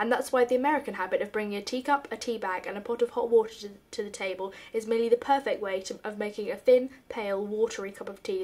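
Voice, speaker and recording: Talking at a very fast pace, a woman uses a fairly high pitch. Noticeable background noise can be heard. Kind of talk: reading of a humorous essay.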